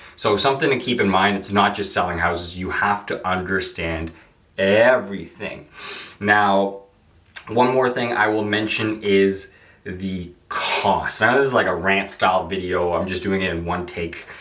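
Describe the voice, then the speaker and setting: Audible room echo surrounds a man's voice. His tone is bright and sharp, and his intonation fairly even. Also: fairly low pitch for a man. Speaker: real estate agent. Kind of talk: rant-style vlog monologue. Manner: fast; casual, filler-heavy.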